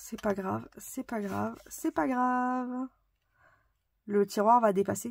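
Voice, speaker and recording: There is ordinary variation in the pitch. The background is silent, making for a very clean recording. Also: woman. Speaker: craft tutorial youtuber. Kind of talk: tutorial. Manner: casual, chatty with fillers.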